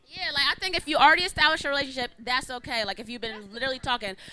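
A woman speaks in a raised, projected voice. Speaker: panelist. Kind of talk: heated panel debate.

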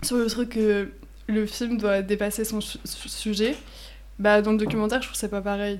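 At a fairly slow pace, a woman talks with a fairly high pitch. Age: 20s. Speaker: law student. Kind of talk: casual chat.

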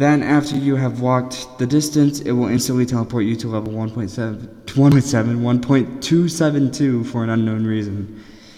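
Nervous in tone, a man talks with hardly any pauses and fairly even intonation against noticeable background noise. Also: medium pitch for a man, fairly slow pace. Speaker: podcast host. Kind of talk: reading aloud. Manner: nervous, stumbling.

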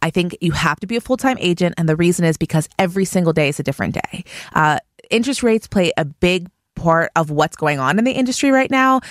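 A woman speaks very fast with a fairly low pitch and very wide pitch swings, in an American accent, with a dry, close sound and no echo. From Pittsburgh, Pennsylvania. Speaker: real estate company owner. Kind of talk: interview.

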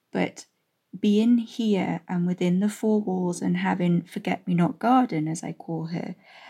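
A somewhat breathy woman's voice with a dark, mellow tone and ordinary pitch variation, on a very clean recording with a silent background. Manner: strained, halting.

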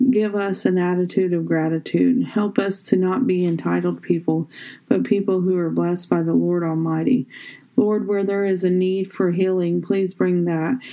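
A normal speaking voice, fairly even in intonation, at a moderate pace. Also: woman. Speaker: devotional reader. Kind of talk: fervent prayer, spoken devotional. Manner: earnest, fervent, pleading; rhythmic, repetitive cadence.

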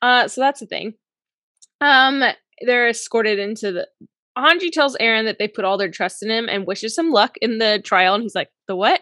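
A woman's fairly high, bright, sharp voice with lively intonation and an animated tone. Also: moderate pace, dry, close sound with no echo, quiet background. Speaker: podcast co-host. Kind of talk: casual chat.

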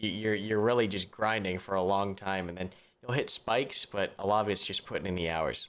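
This man has a plain, everyday voice at a fairly low pitch. He talks at a fairly quick pace in a very clean recording with a silent background. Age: 20s. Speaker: podcast co-host and YouTube content creator. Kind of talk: casual chat.

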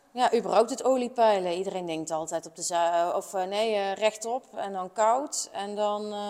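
A woman with a normal speaking voice and medium pitch talks at a moderate pace with hardly any pauses, ordinary pitch variation and big swings in loudness. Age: 30s. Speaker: motorcycle mechanic and workshop teacher. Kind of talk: interview conversation.

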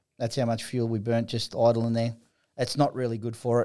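A medium-pitched man with an Australian accent in a very clean recording with a silent background. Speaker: footballer and drag racer. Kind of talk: casual chat. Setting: studio. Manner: halting.

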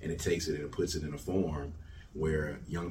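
A man with a very deep, low pitch speaks at a fairly quick pace in a monotone, flat intonation, with audible room echo. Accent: Mississippi. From Jackson, Mississippi. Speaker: hip hop artist and music festival founder. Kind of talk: interview.

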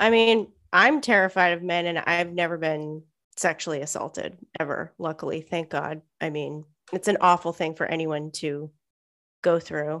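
At a moderate pace, a woman with an ordinary speaking voice talks in a fairly low pitch with ordinary pitch variation. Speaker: podcast co-host. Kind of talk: casual chat.

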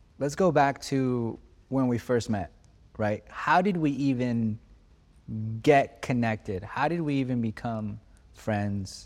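In a very clean recording with a silent background, a man talks at a very slow pace, leaving long, frequent pauses. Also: medium pitch for a man, ordinary pitch variation. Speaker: podcast host. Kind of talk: casual chat.

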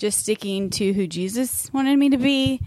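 On a very clean recording with a silent background, a woman talks in an ordinary speaking voice at a fairly slow pace. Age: 30s. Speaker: teacher and podcast co-host. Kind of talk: casual chat.

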